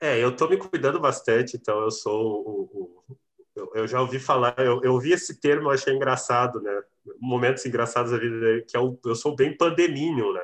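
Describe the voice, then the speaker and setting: A man with a normal speaking voice talks at a moderate pace and medium pitch, with ordinary pitch variation. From Rio Grande do Sul interior, Cachoeira do Sul. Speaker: drummer and music teacher. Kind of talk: casual interview chat.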